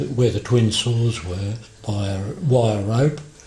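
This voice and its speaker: A man speaks in an Australian accent, his pitch at a medium level. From Western Australia. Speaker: former timber mill worker. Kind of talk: oral history interview answer.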